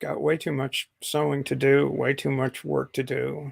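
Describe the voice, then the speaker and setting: A man with an American accent at a fairly slow pace, in a dry, close sound with no echo. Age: 60s. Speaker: live streamer. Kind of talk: casual chat. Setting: live stream.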